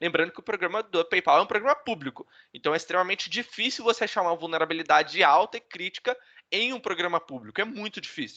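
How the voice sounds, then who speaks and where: A high-pitched man speaks very fast with lively intonation and a bright, sharp tone, in a dry, close sound with no echo. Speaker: bug bounty hacker, speaker. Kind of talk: online talk presentation. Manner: casual.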